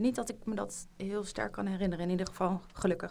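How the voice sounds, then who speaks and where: This voice has a dark, mellow tone, ordinary pitch variation, and some vocal fry. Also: woman. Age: 20s. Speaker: junior doctor. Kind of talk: casual chat.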